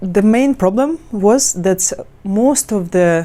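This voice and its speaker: Using lively intonation, a woman with a non-native accent and a dark, mellow tone speaks at a very slow pace. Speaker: language teacher. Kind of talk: tutorial. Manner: halting, many fillers and restarts.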